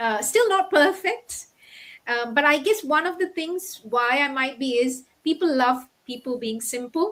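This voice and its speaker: With a non-native accent, a woman at a high pitch speaks with lively intonation. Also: fairly slow pace. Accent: foreign. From Middle East. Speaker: doctor turned online entrepreneur. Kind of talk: interview. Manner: halting.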